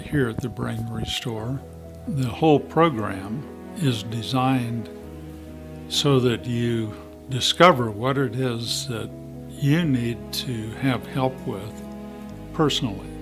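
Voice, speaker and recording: Music plays in the background as a man speaks at a very slow pace, leaving long, frequent pauses. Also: medium pitch for a man, ordinary pitch variation. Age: 70s. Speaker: patient giving testimonial. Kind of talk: testimonial interview answer.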